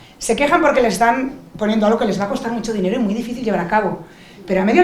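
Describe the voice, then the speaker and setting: In a Spanish accent, a woman speaks in an animated tone with a fairly high pitch and ordinary pitch variation, with audible room echo and noticeable background noise. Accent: Peninsular Spanish. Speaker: lawyer and digital rights advocate on a panel. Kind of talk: panel discussion.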